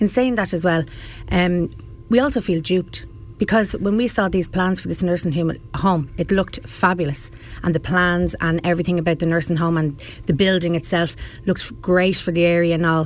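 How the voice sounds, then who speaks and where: With an Irish accent, a woman speaks at a moderate pace with ordinary pitch variation. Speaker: local protester and parent. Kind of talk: radio interview. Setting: studio. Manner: animated.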